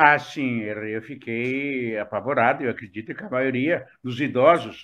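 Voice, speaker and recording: Against a quiet background, a man speaks at a fairly slow pace. His tone is bright and sharp, with ordinary pitch variation. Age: 70s. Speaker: retiree, former business administrator. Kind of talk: interview.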